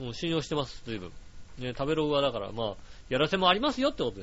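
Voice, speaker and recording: A man is speaking. His pitch swings very widely. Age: 30s. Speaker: podcast host. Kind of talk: casual solo talk, reading listener mail.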